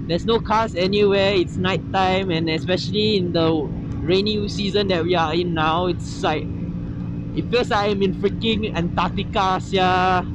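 Speaking at a moderate pace with ordinary pitch variation, a man is heard in a dry sound with no echo against noticeable background noise. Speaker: motovlogger rider. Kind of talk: casual vlog chat. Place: motorbike. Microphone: helmet.

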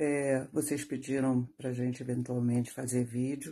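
A woman's very deep, low pitch with a dark, mellow tone. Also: quiet background. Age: 60s. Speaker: retiree giving testimonial. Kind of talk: testimony. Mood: calm, earnest complaint. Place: home room. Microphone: phone near.

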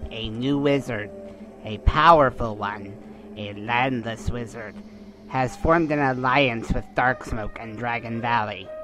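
A man's put-on character voice at a medium pitch, fairly slow, with clear music in the background. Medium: audio drama.

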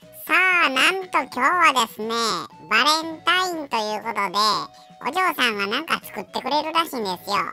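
Faint music plays behind a female-sounding, put-on character voice that moves at a fairly quick pace. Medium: voice reel. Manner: chatty, polite yet cheeky.

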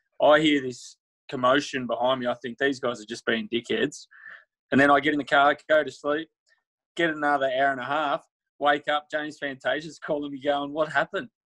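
A man speaks at a moderate pace, with a fairly high pitch and a fairly bright tone. There is little pitch movement, and the sound is dry and close with no echo.

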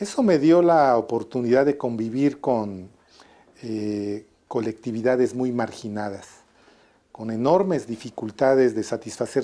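At a fairly slow pace, a man speaks in a dark, mellow tone. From Mexico, Atlixco, Puebla; Puebla, Mexico. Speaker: public health physician and researcher. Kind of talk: interview. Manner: hesitant, many fillers; formal. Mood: warm, reminiscing. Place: office. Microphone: lapel.

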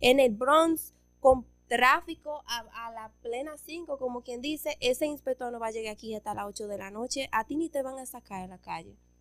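With music in the background, a woman speaks at a high pitch and a moderate pace, her pitch varying in an ordinary way while her loudness swings widely. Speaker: podcast guest. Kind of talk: interview answer, storytelling. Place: studio. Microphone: studio mic.

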